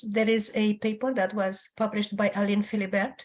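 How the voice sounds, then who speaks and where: Speech moves at a moderate pace. There is a somewhat breathy quality to it. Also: woman. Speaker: audience member asking question. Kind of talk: Q&A comment.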